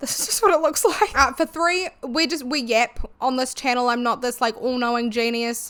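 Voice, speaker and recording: Hardly pausing at all, a woman talks at a moderate pace in a high pitch with ordinary pitch variation. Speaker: YouTuber. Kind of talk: casual video commentary. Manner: chatty.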